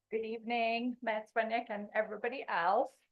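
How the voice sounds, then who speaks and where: Her voice fairly high in pitch, a woman speaks with a slight English accent. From England. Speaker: non-profit executive director. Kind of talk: presentation. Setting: public meeting.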